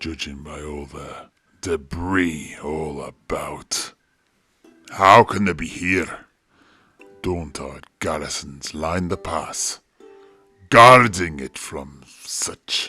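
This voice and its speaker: A put-on character voice from a man, very deep and low, at a very slow pace with long, frequent pauses, over faint music in the background. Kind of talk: audio drama storytelling.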